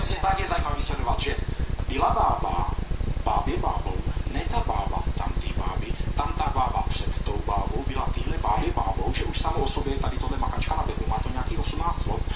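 A man talks at a fairly quick pace with loud background noise behind him. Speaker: joke teller on talent show. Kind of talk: talent show audition, talk to jury. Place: stage.

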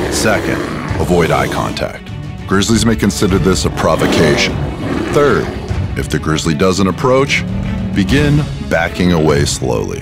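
Over loud music in the background, a man talks at a moderate pace with long, frequent pauses. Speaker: voice actor. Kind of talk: instructional safety narration. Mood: calm, authoritative. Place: studio. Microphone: studio mic.

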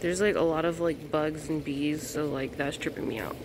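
Over clear background noise, a woman speaks at a moderate pace in a low pitch with fairly even intonation.

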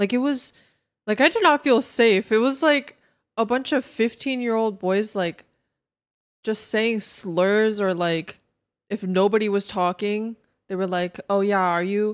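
Against a quiet background, a woman with a fairly high voice speaks at a fairly slow pace, using ordinary pitch variation and long, frequent pauses. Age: 20s. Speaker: video game streamer; game streamer. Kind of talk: live stream gaming chat; casual stream chat. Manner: casual, filler-heavy. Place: home room. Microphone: studio mic.

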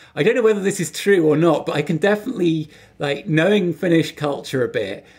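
Fairly quick speech from a man with an English accent, high in pitch with ordinary pitch variation. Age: 40s. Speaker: podcast co-host. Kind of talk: casual chat. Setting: video call.

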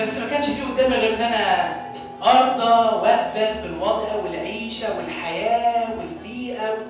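Fairly slow speech in strong room echo, with clear music in the background. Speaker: stage actor. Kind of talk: dramatic stage monologue. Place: church. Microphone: camera far.

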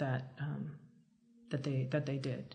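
A woman talks with an American accent in a somewhat breathy voice. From Philadelphia, US. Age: 40s. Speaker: cartoonist. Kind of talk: casual interview.

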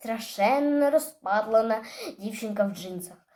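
Ordinary pitch variation in plain reading aloud

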